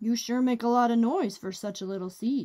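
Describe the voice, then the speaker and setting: Using a put-on character voice, a woman bellows in a booming tone, her pitch fairly high with ordinary variation and her pace fairly quick. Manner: booming, irritated bellow.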